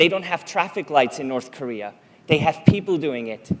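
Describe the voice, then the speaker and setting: A man in a Swiss German accent, lively intonation, moderate pace. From Switzerland (German-speaking). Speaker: conference speaker. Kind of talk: public talk.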